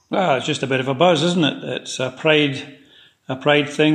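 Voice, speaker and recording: A man speaks at a moderate pace. He has a Scottish accent. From Fife, Scotland. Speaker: Clydesdale breeder and farmer. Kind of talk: interview.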